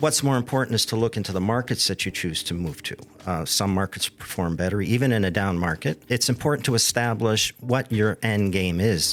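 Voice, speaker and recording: In a normal speaking voice, a man talks at a fairly quick pace with hardly any pauses. His pitch is fairly low, with ordinary pitch variation. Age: 60s. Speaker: real estate downsizing specialist. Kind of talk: interview.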